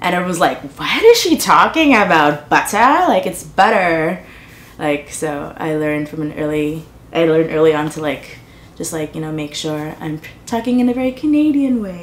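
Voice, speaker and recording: A woman speaks with lively intonation at a fairly low pitch, with noticeable background noise behind her. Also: moderate pace. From Trinidad. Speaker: artist and community organizer. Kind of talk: personal testimony interview. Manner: casual, many fillers (like, um).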